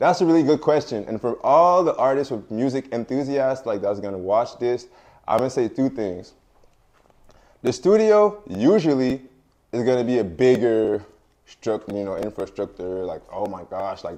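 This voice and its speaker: A man speaks at a moderate pace in a dark, mellow tone, his medium pitch swinging very widely and his loudness rising and falling sharply. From French-speaking hometown. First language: French. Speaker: rapper. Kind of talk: casual interview. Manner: casual, filler-heavy.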